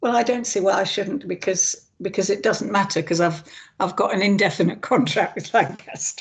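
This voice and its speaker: A woman speaks in a somewhat breathy voice at medium pitch. Her pace is moderate and her pitch variation ordinary. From England. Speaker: author and creative writing tutor. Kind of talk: interview. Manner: hesitant, repeats words.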